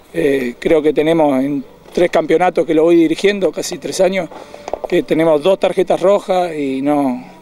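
A man with a Uruguayan accent speaks at a moderate pace over noticeable background noise. His pitch is fairly high, and his intonation fairly even. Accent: Uruguayan Rioplatense Spanish. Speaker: youth football coach. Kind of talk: post-match interview. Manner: halting.

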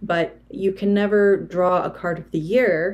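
A woman at a very slow pace with fairly even intonation. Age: 40s. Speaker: tarot reader and video creator; tarot reader, video creator. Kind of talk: tutorial. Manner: hesitant, frequent filler words. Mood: calm, thoughtful. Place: home room. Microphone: phone near.

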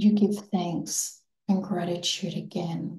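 The voice is dark and mellow, soothing and warm, with vocal fry and flat, monotone intonation. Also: woman. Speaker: meditation guide. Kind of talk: guided manifestation meditation, second-person visualization with counted breathing. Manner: slow, soothing and hypnotic, gently repeating phrases; warm, affirming and reverent, softly emphatic.

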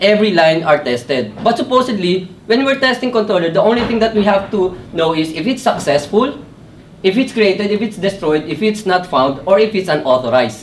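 A man with a high pitch and lively intonation over light background noise. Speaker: presenter. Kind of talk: technical talk. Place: meeting room. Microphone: camera far.

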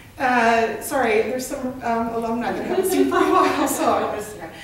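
Room echo is audible as a woman speaks. There is light background noise. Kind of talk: presentation to a group. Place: meeting room. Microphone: camera far.

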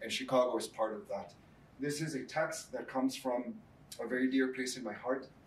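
A man with a Spanish accent at a fairly quick pace, ordinary pitch variation, and audible room echo. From Mexico. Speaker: professor. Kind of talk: lecture. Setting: stage with audience. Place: classroom.

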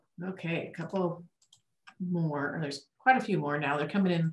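Audible room echo surrounds the woman as she talks. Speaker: event staff reading audience questions. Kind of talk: reading questions aloud. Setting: video call. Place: meeting room.

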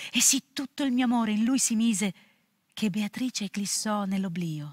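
Somewhat breathy, a woman speaks at a moderate pace. The background is quiet. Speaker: actress. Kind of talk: poetry reading. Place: studio.

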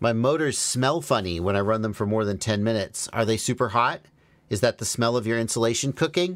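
Speaking fairly quickly, a man shows ordinary pitch variation. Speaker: FPV drone streamer. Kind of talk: live Q&A answer. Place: workshop. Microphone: studio mic.

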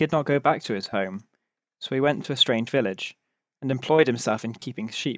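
A man with a plain, everyday voice, medium pitch and ordinary pitch variation at a fairly quick pace, in a very clean recording with a silent background and a dry, close sound with no echo. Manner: measured, storytelling cadence.

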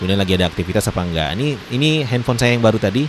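Male speech over noticeable background noise, with ordinary pitch variation. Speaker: tech tutorial youtuber. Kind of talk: tutorial. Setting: indoors during heavy rain. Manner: hesitant with frequent fillers. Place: home room.

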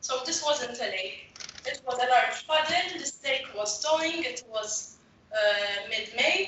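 Speaking at a very slow pace with lively intonation, a woman is heard with audible room echo and light background noise. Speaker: photographer. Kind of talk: webinar presentation. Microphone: video call.

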